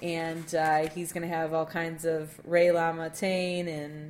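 A woman speaks fairly slowly in a fairly low pitch. Her intonation is monotone and flat. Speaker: podcast co-host. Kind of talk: casual chat.

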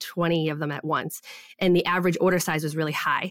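An unremarkable speaking voice moves at a fairly quick pace with fairly even intonation. The sound is dry and close, with no echo. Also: woman. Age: 30s. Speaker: online business coach and shop owner. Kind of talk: interview.

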